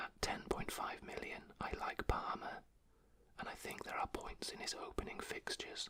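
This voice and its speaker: Whispering goes on at a moderate pace. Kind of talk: ASMR football commentary, casual talk to camera. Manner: whispered, soft-spoken.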